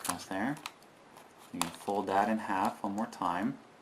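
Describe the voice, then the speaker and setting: With noticeable background noise behind him, a man keeps a moderate pace and shows ordinary pitch variation. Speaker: origami tutorial youtuber. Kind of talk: tutorial.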